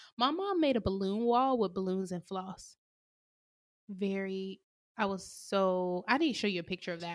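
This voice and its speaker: An unremarkable speaking voice from a woman at medium pitch, moving at a moderate pace with ordinary pitch variation. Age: 20s. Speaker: podcast co-host. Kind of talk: casual chat.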